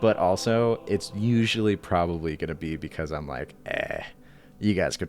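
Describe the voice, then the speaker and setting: A man speaks with ordinary pitch variation and a moderate pace while music plays behind him. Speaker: book reviewer. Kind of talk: casual book review monologue.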